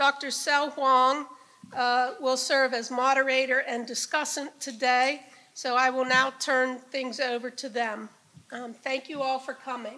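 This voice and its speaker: Using a raised, projected voice, a woman speaks fairly slowly in a high pitch with a bright, sharp tone and monotone, flat intonation. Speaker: professor and event organizer. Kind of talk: event welcome speech. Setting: stage with audience. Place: hall. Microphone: podium.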